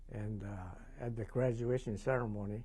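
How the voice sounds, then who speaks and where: A man with a Hawaiian accent sounds somewhat breathy at a fairly low pitch, his dark, mellow tone carrying audible room echo. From Hawaii, Maui. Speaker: war veteran. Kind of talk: oral history interview. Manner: hesitant, many fillers.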